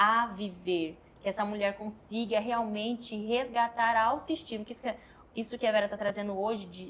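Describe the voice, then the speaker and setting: A woman with a plain, everyday voice speaks at a moderate pace, her fairly high pitch carried in fairly even intonation. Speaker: podcast host. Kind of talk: casual chat.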